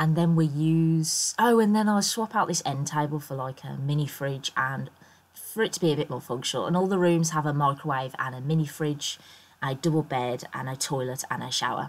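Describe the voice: A woman with a low, croaky voice speaks with ordinary pitch variation. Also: moderate pace.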